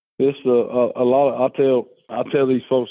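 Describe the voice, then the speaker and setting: A man with an Alabama accent. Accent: Southern US (Alabama). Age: 30s. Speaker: fishing guide. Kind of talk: casual chat.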